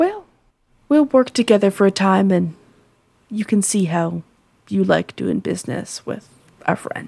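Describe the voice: Using a put-on character voice, a woman speaks at a fairly slow pace with long, frequent pauses, lively intonation, vocal fry and a slightly husky edge. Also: medium pitch for a woman.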